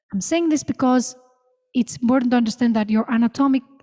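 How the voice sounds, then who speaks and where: A dark, mellow tone with ordinary pitch variation, in a dry, close sound without echo. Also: woman. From Greece. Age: 30s. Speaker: vocalist and music professor. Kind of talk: masterclass Q&A. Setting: theater with audience.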